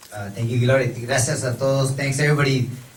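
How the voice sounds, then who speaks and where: Through noticeable background noise and audible room echo, a man talks at a medium pitch with fairly even intonation. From Mexico. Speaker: high school history teacher. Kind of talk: public talk at a forum.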